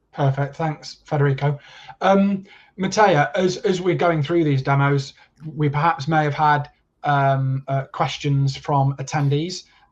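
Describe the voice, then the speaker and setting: Over a quiet background, a man with an East Midlands accent talks at a fairly slow pace in a somewhat breathy, fairly high voice with fairly even intonation. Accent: mild East Midlands. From East Midlands, England. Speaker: tech company representative. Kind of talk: webinar Q&A. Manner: halting, filler-heavy.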